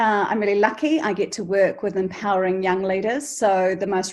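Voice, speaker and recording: In a New Zealand accent, a woman speaks at a moderate pace and medium pitch with fairly even intonation against a quiet background. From New Zealand, Canterbury. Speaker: charity founder and teacher. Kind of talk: interview podcast.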